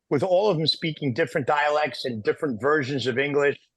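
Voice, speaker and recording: Talking fairly quickly in a New York accent, a man with fairly high pitch keeps his intonation fairly even. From New York, Italian-American. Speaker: podcast co-host. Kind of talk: podcast conversation. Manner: fast.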